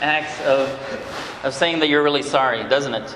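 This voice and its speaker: Over noticeable background noise and audible room echo, a man with a fairly high pitch speaks at a fairly slow pace. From Brazil. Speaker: conference speaker. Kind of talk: talk to a men's conference session. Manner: halting, many repeated words.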